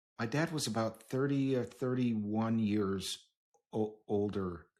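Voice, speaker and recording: In a normal speaking voice, a man talks at a fairly slow pace. His pitch is medium with ordinary variation. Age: 60s. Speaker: podcast host. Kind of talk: podcast interview.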